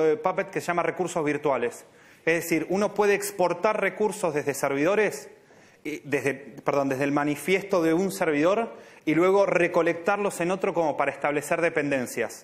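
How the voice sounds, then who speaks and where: Noticeable background noise sits behind a man speaking with an Argentine accent at a fairly quick pace. His pitch is high, with ordinary variation. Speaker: software engineer. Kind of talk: Q&A answer; conference talk.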